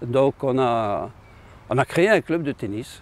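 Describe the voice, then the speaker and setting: A man's fairly high-pitched voice rises and falls with lively intonation. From Lorraine, France (Talange). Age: 70s. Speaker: local tennis club founder. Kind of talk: local history testimony. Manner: hesitant, repeats words.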